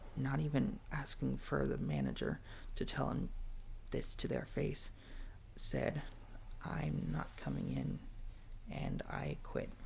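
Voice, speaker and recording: Over noticeable background noise, a soft-spoken man talks at a very slow pace with long, frequent pauses and very even loudness. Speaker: ASMR content creator. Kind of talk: ASMR personal storytelling ramble. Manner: soft-spoken, rambling, vulnerable.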